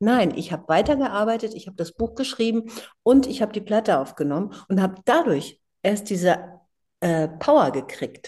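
Somewhat breathy and dark, mellow in tone, a woman speaks at a moderate pace with very wide pitch swings. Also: medium pitch for a woman. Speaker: singer. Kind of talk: interview. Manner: animated.

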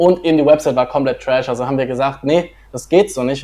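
Fairly high-pitched and very fast, this man speaks with fairly even intonation. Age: 20s. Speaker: marketing agency founder. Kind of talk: livestream interview.

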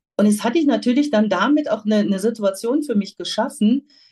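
A woman's somewhat breathy voice, dark and mellow in tone, carries lively intonation. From Germany, Lower Rhine region. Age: 50s. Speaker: pharmaceutical sales representative. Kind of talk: interview.

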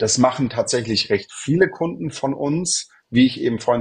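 A man speaks at a moderate pace with lively intonation and a somewhat breathy sound. The background is quiet. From southern Germany, Munich. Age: 30s. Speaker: real estate consultant. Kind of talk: podcast interview.

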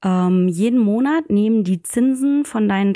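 Against a quiet background, a woman with a dark, mellow tone and medium pitch speaks fairly slowly, her pitch swinging very widely. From Germany, near Koblenz. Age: 20s. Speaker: financial advisor. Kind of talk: podcast interview.

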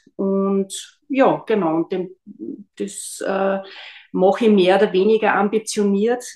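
The woman's tone is dark and mellow, her pitch medium and her intonation fairly even. She talks at a very slow pace with long, frequent pauses. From Austria, Linz. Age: 50s. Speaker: biomedical analyst and gluten-free baker. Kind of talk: casual chat.

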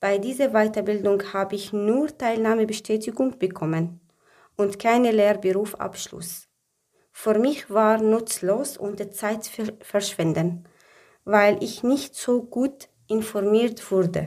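At a very slow pace, a woman with a fairly high pitch and ordinary pitch variation speaks with long, frequent pauses. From Syria. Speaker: job seeker. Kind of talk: personal testimony. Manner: halting.

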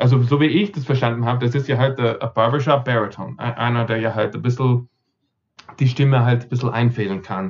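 This man speaks fairly quickly in a medium-pitched, somewhat breathy voice with ordinary pitch variation. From Austria, Vienna and Carinthia, with American roots. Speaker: barbershop singer and expert. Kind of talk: interview.

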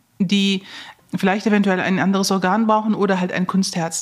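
Her voice has a slightly airy quality. This woman's pitch sits in the middle range. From Germany, Neuss (Lower Rhine), Turkish family. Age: 40s. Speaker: heart surgeon. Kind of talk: interview.

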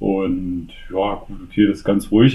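Fairly low in pitch with ordinary variation, a man talks in a plain, everyday voice. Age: 30s. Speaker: father. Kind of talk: casual interview.

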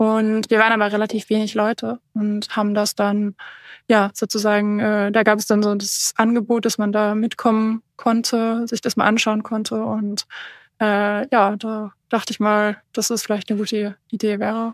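In a dry, close recording with no echo, very clean and with a silent background, a woman with a fairly high pitch speaks at a moderate pace in a monotone, flat intonation. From northern Germany. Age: 20s. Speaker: adventurer, polar expedition skier. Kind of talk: interview.

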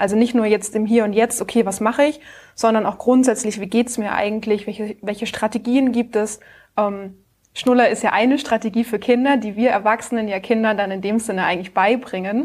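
A woman's fairly high, fairly even voice at a fairly quick pace, an unremarkable speaking voice. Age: 30s. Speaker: speech therapist and founder. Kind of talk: casual interview.

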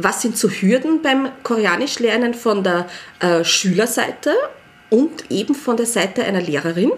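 A woman with a fairly high pitch speaks at a moderate pace with lively intonation and very even loudness over noticeable background noise. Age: 40s. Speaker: early childhood educator. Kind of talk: casual chat.

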